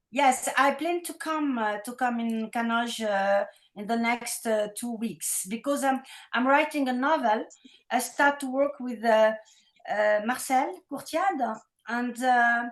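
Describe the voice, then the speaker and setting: Delivered with a French accent, the speech moves at a fairly slow pace. Its pitch variation is ordinary. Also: woman, high pitch for a woman. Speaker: novelist. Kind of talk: online meeting remarks. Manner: hesitant.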